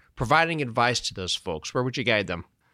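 A man with a bright, sharp tone and lively intonation, in a very clean recording with a silent background and a dry, close sound with no echo. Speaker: podcast host. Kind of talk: interview.

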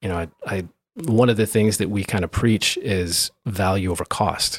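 A man with a normal speaking voice talks at a fairly low pitch on a very clean recording with a silent background. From interior British Columbia, Canada (Grand Forks). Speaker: architect. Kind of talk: interview. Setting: in person, Vancouver.

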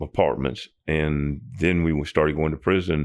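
This man's pitch is very deep and low. His intonation stays monotone and flat. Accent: Tennessee. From Nashville, Tennessee. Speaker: prison ministry volunteer mentor. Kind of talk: interview. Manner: halting.

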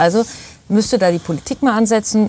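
This is an ordinary speaking voice, moving at a moderate pace. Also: woman. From Bavaria, Starnberger See area. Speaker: actress and voice actor. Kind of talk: casual chat.

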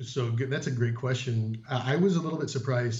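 At a fairly quick pace, a man talks in a medium pitch, somewhat breathy. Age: 50s. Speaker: Disney vacation guest sharing trip report. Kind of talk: casual interview chat.

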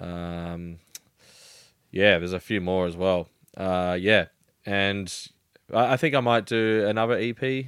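A very slow man with an Australian accent, fairly low in pitch, with long and frequent pauses. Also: ordinary pitch variation. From Melbourne, Australia. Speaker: DJ and music producer. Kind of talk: casual interview chat. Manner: halting, many fillers.

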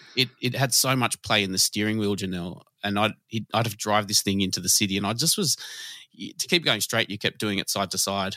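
With an Australian accent, a man speaks at a fairly quick pace in a bright, sharp tone. The recording is very clean with a silent background and a dry, close sound with no echo. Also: fairly low pitch for a man, ordinary pitch variation. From Sydney southwest, Australia. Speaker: nighttime economy commissioner. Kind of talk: interview conversation. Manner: halting.

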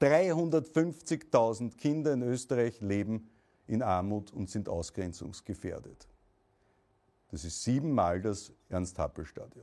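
With an Austrian accent, a man speaks at a very slow pace, his pitch swinging very widely. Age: 40s. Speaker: political activist and entrepreneur. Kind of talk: political speech. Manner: formal.

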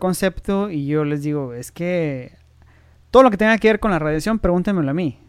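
A man speaks in a high voice at a moderate pace, with ordinary pitch variation. The recording is very clean, with a silent background. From Mexico, Tijuana. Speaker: nuclear medicine physician. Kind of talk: interview.

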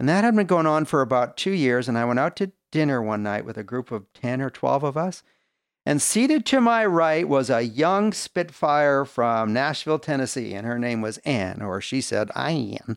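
With lively intonation and a medium pitch, a man speaks at a moderate pace in an ordinary speaking voice. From Canada. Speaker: business leader. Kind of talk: testimony.

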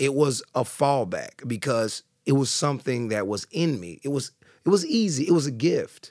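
A man with a Southern US accent speaks at a fairly high pitch with very wide pitch swings. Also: moderate pace. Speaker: boxing class instructor and author. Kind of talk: casual interview.

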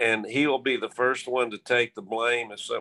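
Here a man speaks in a Texan accent. His pitch is medium and his pace moderate. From Texas, Abilene. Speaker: high school football coach. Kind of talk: interview.

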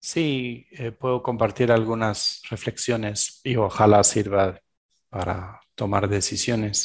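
Speaking at a very slow pace, a man uses a fairly low pitch and fairly even intonation over a quiet background. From Belgium. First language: French (speaking Spanish). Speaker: shamanic practitioner and executive coach. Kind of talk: interview.

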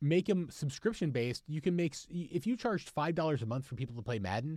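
The man's pitch swings very widely. His voice is somewhat breathy. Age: 30s. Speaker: company executive and gamer guest. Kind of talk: casual chat.

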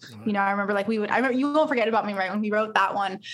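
Here a woman talks with a Californian accent. Her voice is fairly high, with ordinary pitch variation. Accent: Californian American. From Los Angeles. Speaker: singer-songwriter. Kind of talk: casual interview.

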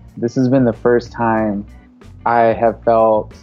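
A man with an American accent, faint music in the background.

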